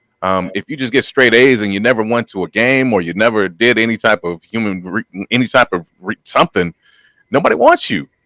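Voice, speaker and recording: Loud and quick, a man speaks at medium pitch with a bright, sharp tone and a dry, close sound with no echo. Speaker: podcast co-host, former college football player. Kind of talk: casual chat. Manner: halting.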